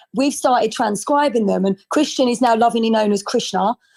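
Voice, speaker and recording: A woman talks at a fairly quick pace in a high voice with a dark, mellow tone. Her pitch varies in an ordinary way. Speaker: community member on a live audio room. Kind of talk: casual chat. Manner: fast.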